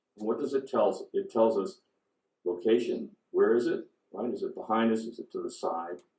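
A man talks at a fairly quick pace. Audible room echo is present. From US West Coast (California). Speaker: neuroscience professor. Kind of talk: public science lecture. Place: meeting room. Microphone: podium.

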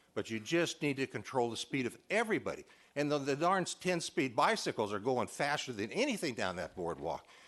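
A medium-pitched man's voice with vocal fry and very wide pitch swings, fairly quick with hardly any pauses, over a quiet background. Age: 70s. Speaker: public commenter at city council. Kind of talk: public comment. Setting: city council meeting. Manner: halting, repetitive.

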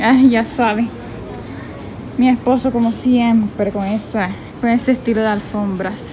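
With clear background noise, a woman speaks slowly and at a fairly high pitch with little pitch movement, in a Colombian Caribbean accent.

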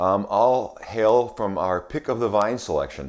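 Over a quiet background, a man is talking. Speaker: wine shop host. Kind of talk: product tasting presentation. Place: kitchen. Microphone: webcam.

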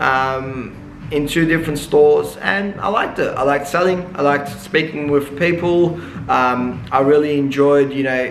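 Light background noise and audible room echo surround a man speaking with ordinary pitch variation. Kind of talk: casual vlog chat. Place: shop.

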